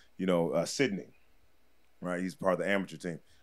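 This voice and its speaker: Very fast speech from a man against a quiet background. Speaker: podcast guest, comedian. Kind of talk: casual storytelling. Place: studio. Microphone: studio mic.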